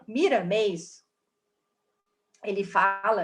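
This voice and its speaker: A woman speaks with audible room echo. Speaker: spiritist study class teacher. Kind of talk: lecture.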